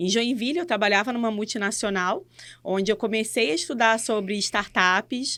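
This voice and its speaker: A woman with fairly high pitch at a moderate pace. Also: ordinary pitch variation. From Rio de Janeiro, Brazil. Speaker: innovation and education lead. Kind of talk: casual podcast interview. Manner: halting, with restarts and fillers.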